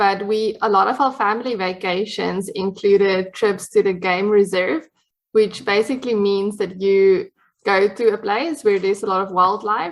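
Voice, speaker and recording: With a South African accent, a woman talks at a moderate pace and keeps her intonation fairly even. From South Africa, Cape Town. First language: Afrikaans. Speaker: dietitian, podcast guest. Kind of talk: casual interview chat. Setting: podcast recording.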